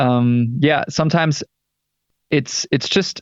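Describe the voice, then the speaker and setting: A man speaks with a German accent. His pitch is fairly high and his intonation fairly even. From Germany. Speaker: rock band singer. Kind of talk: interview. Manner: halting.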